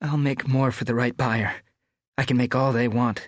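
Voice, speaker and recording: Putting on a character voice, a man talks at a moderate pace in a medium pitch, with a nervous tone and monotone, flat intonation against a quiet background. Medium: read story. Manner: nervous, quiet.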